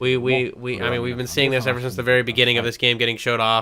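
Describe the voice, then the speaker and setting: A man's medium-pitched voice with a bright, sharp tone. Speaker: streamer reacting to game footage. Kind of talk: casual live stream commentary.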